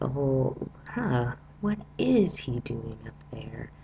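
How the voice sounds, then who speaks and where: A man's voice over noticeable background noise. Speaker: TV episode reviewer. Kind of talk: casual talk to camera.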